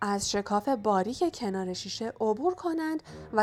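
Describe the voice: Someone is doing plain reading aloud. Their intonation moves in a lively way.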